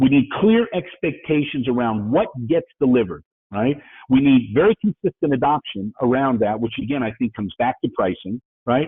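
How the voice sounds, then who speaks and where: The speaker is a man with an American accent and a medium pitch. His intonation is lively. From New York. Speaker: business speaker, IT entrepreneur. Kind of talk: webinar presentation. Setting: webinar. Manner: fast.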